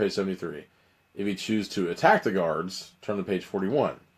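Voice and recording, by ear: Someone is reading aloud in a natural voice, keeping the intonation fairly level.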